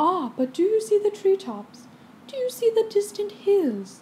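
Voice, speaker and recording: A woman performs a put-on character voice at a high pitch. Her pitch swings very widely. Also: moderate pace. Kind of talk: bedtime story. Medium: read story.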